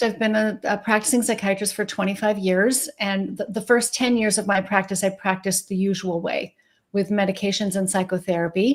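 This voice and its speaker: A woman speaks at a fairly quick pace, with hardly any pauses. Her medium-pitched voice is somewhat breathy. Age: 60s. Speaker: psychiatrist. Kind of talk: interview.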